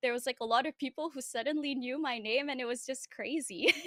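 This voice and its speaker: The sound is dry and close, with no echo. A woman speaks at a high pitch in a bright, sharp tone. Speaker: cosplayer, actress and streamer. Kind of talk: interview. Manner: soft-spoken.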